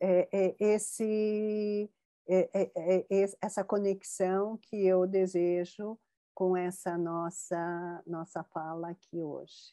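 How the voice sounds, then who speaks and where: Over a quiet background, a woman speaks at a very slow pace in a medium pitch, her monotone, flat intonation and dark, mellow tone caught in a dry, close sound with no echo. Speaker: researcher of Japanese culture. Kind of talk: interview conversation.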